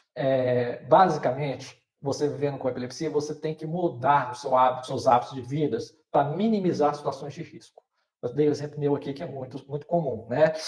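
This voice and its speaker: A man at a moderate pace, fairly even in intonation but with big swings in loudness. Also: fairly high pitch for a man. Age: 50s. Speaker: person with epilepsy, patient advocate. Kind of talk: live panel discussion. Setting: online live stream. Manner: hesitant, many fillers.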